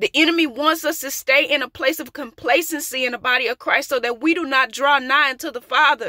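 In a raised, projected voice with a bright, sharp tone, the speaker talks at a fairly quick pace with fairly even intonation and hardly any pauses, in a dry sound with no echo over a quiet background. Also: woman, high pitch for a woman. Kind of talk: prophetic sermon. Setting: outdoors. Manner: emphatic, repetitive. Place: car. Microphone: phone near.

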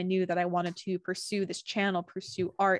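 A woman at a very fast pace, in a dry sound with no echo. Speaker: video host. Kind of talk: casual interview chat. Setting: video call. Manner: warm, upbeat. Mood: warm, cheerful. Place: home room. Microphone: studio mic.

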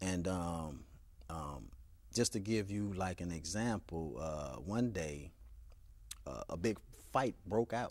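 Against a quiet background, a man with a very deep, low pitch speaks at a very slow pace with long, frequent pauses. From US, Chicago. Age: 30s. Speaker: author; interview guest. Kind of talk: interview. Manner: halting. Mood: calm, reflective, serious. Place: studio. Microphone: lapel.

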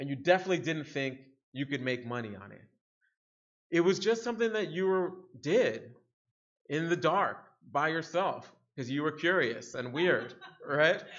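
A man with an American accent talks at a moderate pace and a fairly high pitch, with lively intonation and big swings in loudness. He leaves long, frequent pauses over a quiet background. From Harlem, New York City; New York City. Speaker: security researcher, keynote speaker; keynote speaker. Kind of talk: conference keynote talk. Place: hall. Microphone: podium.

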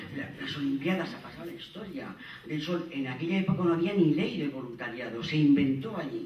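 A man speaks at a moderate pace with a fairly high pitch, lively intonation and big swings in loudness. Audible room echo and light background noise are present. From Zaragoza, Aragon, Spain; Aragon. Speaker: conference panelist. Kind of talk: conference talk. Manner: animated, informal. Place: hall.

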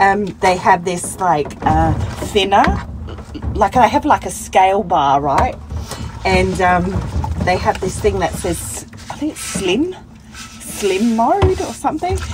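A woman speaks at a very slow pace, with long, frequent pauses. There is noticeable background noise. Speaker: solo van traveller vlogger. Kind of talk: casual vlog chat. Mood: amused, laughing often. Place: car. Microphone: phone near.

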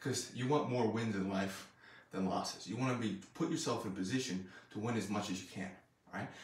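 A man talks at a fairly quick pace in a fairly low pitch, sounding somewhat breathy. Audible room echo surrounds his voice. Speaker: strength coach. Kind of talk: casual vlog chat. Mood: reflective, motivational. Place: gym. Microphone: camera far.

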